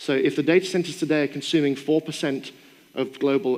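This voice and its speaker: Speaking at a very fast pace, a man with a strong British accent uses ordinary pitch variation. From Britain. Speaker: AI expert and keynote speaker. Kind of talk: keynote Q&A answer. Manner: conversational with fillers.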